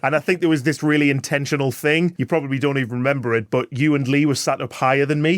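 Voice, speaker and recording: Speaking very fast with hardly any pauses, a man with a northeast English accent keeps a fairly high pitch, fairly even intonation and very even loudness in a dry, close sound with no echo. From northeast England. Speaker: sales executive. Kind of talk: podcast interview. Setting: in-person recording.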